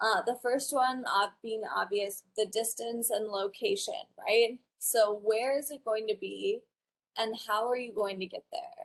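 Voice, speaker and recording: Fairly high in pitch, a woman talks with a General American accent at a fairly slow pace. She has an unremarkable speaking voice and lively intonation. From Wyoming, US. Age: 20s. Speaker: college student and patient. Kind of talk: conference presentation.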